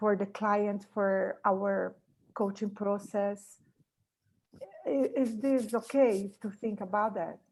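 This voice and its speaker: Speaking with a Portuguese accent, a woman talks very slowly with fairly even intonation and long, frequent pauses. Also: medium pitch for a woman. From Brazil. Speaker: coaching student. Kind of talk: question in online class. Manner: halting.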